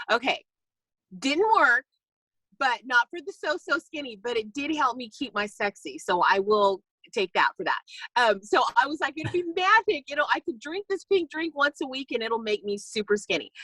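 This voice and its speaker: Bright and sharp, a woman's high voice is raised and projected with an animated tone. Her pitch swings very widely, and the sound is dry and close with no echo. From California. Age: 50s. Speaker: network marketing distributor. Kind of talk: casual talk on a video call. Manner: fast.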